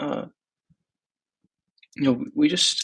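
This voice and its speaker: The man speaks in an American accent at a fairly slow pace, with a dry, close sound with no echo. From Texas. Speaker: startup founder. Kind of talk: personal video diary. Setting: apartment, thin walls. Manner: soft-spoken; casual, hesitant.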